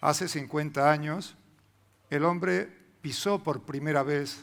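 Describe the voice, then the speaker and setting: This man has a fairly high pitch. He talks at a moderate pace with ordinary pitch variation. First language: Spanish. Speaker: historian speaker. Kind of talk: conference talk.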